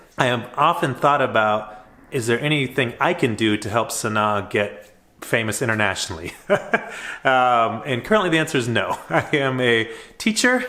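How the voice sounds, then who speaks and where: With an American accent, a man speaks at a moderate pace in a bright, sharp tone, his medium pitch showing ordinary variation. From United States. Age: 40s. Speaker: high school teacher and vlogger. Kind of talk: casual vlog monologue.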